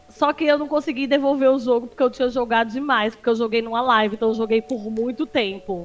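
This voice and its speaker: Music plays in the background as a woman speaks with a high pitch and ordinary pitch variation. Her pace is very fast, with hardly any pauses. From Northeast Brazil, Paraíba. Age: 30s. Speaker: streamer and social media analyst. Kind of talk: casual chat.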